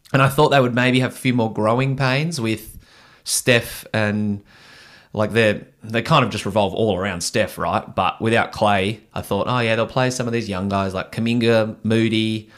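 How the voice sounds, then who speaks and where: A man with an Australian accent speaks at a moderate pace with fairly even intonation, recorded very cleanly against a silent background. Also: medium pitch for a man. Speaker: sports podcast host. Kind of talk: casual sports chat. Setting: studio. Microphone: new microphone.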